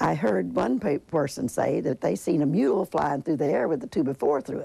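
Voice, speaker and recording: A woman talks at a moderate pace. Her pitch is very deep and low, with very wide swings. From Griffin, Indiana. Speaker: tornado survivor. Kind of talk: interview answer. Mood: somber recollection. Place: home room. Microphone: lapel.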